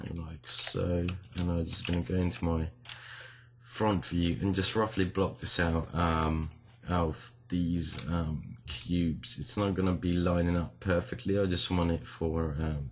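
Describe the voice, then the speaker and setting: A man's very deep, low, somewhat breathy voice at a fairly slow pace with fairly even intonation. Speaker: 3D modeling tutorial creator. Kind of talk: tutorial. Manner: casual with frequent um fillers.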